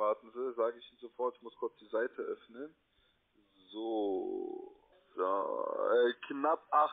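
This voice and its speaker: Speaking at a very slow pace with long, frequent pauses, a man shows big swings in loudness over a quiet background. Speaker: telemarketer; call center sales agent. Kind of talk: sales pitch. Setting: phone call. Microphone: phone line.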